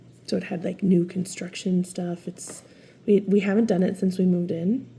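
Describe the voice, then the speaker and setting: A woman's medium-pitched voice with vocal fry, fairly even intonation and a moderate pace. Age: 40s. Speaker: lifestyle vlogger. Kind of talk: casual chat. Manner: casual, filler-heavy.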